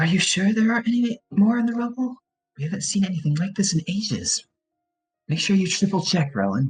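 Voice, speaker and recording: In a put-on character voice, a man speaks high-pitched and shrill at a fairly quick pace over music in the background. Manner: demanding, insistent.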